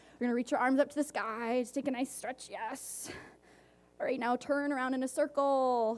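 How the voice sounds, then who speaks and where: A woman speaks loudly in a high pitch at a fairly quick pace. Her tone is animated. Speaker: conference speaker, tech founder. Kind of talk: conference talk. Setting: stage with audience.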